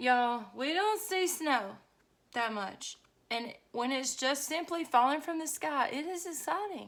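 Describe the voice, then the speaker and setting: A woman's high voice with a Southern US accent, fairly slow in pace and lively in intonation. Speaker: journaling vlogger. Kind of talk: casual craft vlog chat. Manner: chatty, rambling with fillers.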